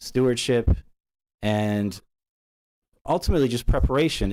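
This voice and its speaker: The man's tone is dark and mellow, heard in a very clean recording with a silent background. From immigrant, grew up partly in US. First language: not English. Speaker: parent speaking at public comment. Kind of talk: public comment at school board meeting. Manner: halting, many fillers.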